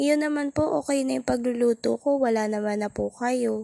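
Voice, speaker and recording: A woman talks at a moderate pace. The sound is dry and close with no echo, on a very clean recording with a silent background. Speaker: vlogger and home baker. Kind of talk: casual vlog narration. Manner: talkative.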